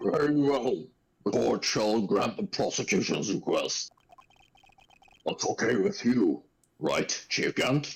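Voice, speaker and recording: A man puts on a character voice, going at a fairly slow pace and pausing often and at length. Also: fairly high pitch for a man. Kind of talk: courtroom speech. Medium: game stream. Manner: formal but hesitant.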